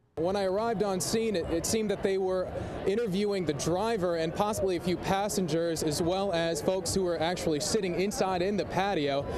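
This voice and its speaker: A man speaks at a fairly quick pace with hardly any pauses, a high pitch, fairly even intonation and very even loudness, with noticeable background noise. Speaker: TV news reporter. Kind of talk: TV news live shot and stand-up. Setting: outdoors on location.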